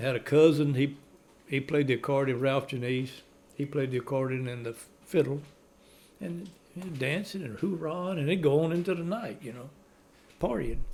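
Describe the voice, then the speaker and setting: Talking at a fairly quick pace in a Cajun accent, a man with fairly high pitch shows ordinary pitch variation, big swings in loudness and long, frequent pauses. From Louisiana, Cajun community. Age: 70s. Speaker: elderly Cajun storyteller. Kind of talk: casual chat.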